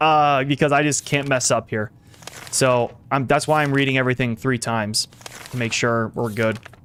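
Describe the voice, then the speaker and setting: Amid noticeable background noise, a man speaks at a moderate pace with fairly even intonation. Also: medium pitch for a man. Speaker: gaming streamer. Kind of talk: live stream commentary. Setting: live stream.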